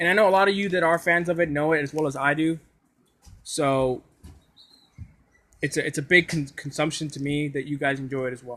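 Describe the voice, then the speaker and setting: Mumbling in a bright, sharp tone, a man talks at a fairly quick pace broken by long, frequent pauses. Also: fairly high pitch for a man, fairly even intonation. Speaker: anime YouTuber / streamer. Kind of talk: casual live stream chat. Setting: live stream. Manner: halting, many repetitions.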